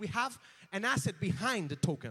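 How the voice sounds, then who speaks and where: A raised, projected voice with a bright, sharp tone moves at a moderate pace, animated in tone and lively in intonation. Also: man. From Spain. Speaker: conference presenter. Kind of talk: conference presentation. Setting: stage with audience.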